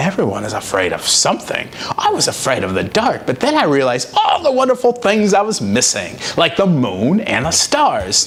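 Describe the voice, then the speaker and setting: Over clear background noise, a man performs a put-on character voice at a moderate pace. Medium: read story. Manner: gentle, calm.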